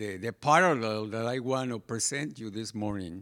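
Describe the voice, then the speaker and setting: A man with a Spanish accent, on a very clean recording with a silent background. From Mexico. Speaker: pastor. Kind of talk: sermon.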